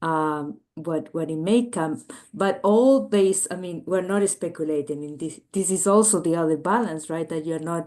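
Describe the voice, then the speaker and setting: The voice carries a Chilean accent and a dark, mellow tone. It moves at a moderate pace with hardly any pauses and ordinary pitch variation. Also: woman, fairly low pitch for a woman. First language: Spanish. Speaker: biomedical engineer and entrepreneur. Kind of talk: interview. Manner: halting, many filler words.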